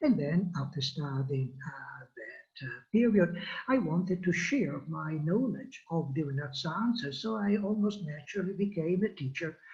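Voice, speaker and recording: A man with an Italian accent, high-pitched and lively in intonation, at a fairly slow pace with hardly any pauses, over noticeable background noise. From Italy, Florence. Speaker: history professor. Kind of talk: personal introduction. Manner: hesitant, many filler sounds.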